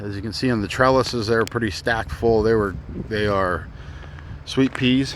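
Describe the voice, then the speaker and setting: A man speaks over noticeable background noise. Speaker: gardener. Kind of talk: garden tour. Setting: outdoors. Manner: loud; casual, halting.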